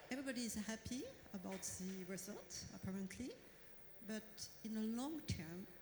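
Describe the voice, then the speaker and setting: A woman with a French accent and ordinary pitch variation, with audible room echo. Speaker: audience member. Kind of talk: audience question. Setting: stage with audience. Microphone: too far from the mic.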